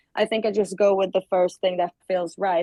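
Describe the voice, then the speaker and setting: A woman speaks in a Swedish accent with a dark, mellow tone. Her sound is dry and close, with no echo. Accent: Swedish accent when speaking English. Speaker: singer. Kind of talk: interview. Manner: halting, many fillers.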